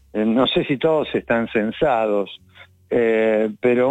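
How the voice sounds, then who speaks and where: A man's medium-pitched voice at a very slow pace. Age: 70s. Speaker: novelist. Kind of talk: radio interview.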